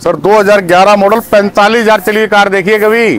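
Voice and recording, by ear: A man talks at a fairly quick pace in a fairly bright tone. His pitch is high, with fairly even intonation.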